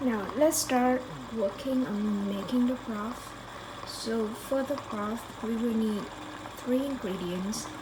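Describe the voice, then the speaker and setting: A woman at fairly high pitch and very slow pace, with ordinary pitch variation, noticeable background noise, and audible room echo. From Vietnam. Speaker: cooking youtuber. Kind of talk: cooking tutorial. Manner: hesitant, with fillers.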